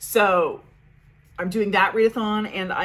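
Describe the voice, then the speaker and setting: A woman's voice amid noticeable background noise. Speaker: book vlogger. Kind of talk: casual monthly reading wrap-up vlog. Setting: home recording setup. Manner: fast; chatty, babbling. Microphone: makeshift setup due to microphone issues.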